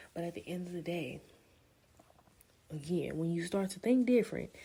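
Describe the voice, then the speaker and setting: A woman's somewhat breathy, dark and mellow voice at a fairly low pitch, with lively intonation, a fairly quick pace, and long, frequent pauses. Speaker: podcast host. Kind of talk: casual monologue podcast. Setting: at home.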